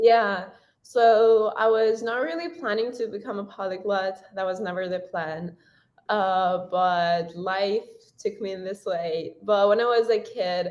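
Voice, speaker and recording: A woman talks with a Persian accent. Her pitch sits in the medium range. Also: ordinary pitch variation. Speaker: university student and language content creator. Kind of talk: interview.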